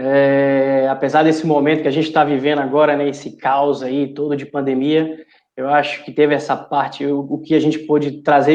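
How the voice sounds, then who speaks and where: At a moderate pace, a man speaks with fairly high pitch and monotone, flat intonation. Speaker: irrigation industry professional. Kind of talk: webinar presentation. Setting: live stream.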